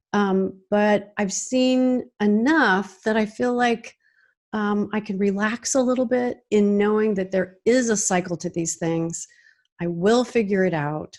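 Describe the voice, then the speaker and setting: A woman speaks at a medium pitch and a fairly slow pace, with ordinary pitch variation and an unremarkable speaking voice. The recording is very clean, with a silent background. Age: 60s. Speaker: singer and music coach. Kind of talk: podcast interview.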